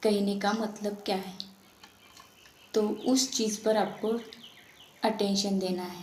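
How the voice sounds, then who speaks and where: A woman with a Marathi accent speaks at a medium pitch in monotone, flat intonation. Audible room echo surrounds her voice. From Maharashtra, India. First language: Marathi (speaking Hindi). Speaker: tarot reader. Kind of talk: spiritual talk to viewers.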